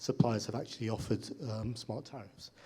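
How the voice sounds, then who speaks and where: A man's dark, mellow tone at a fairly quick pace. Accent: British. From UK. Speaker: audience member asking a question. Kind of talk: audience question at panel discussion.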